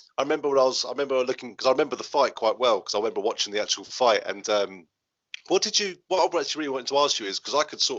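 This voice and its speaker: A man talks at a very fast pace with an English accent. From England. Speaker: podcast host. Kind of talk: casual interview.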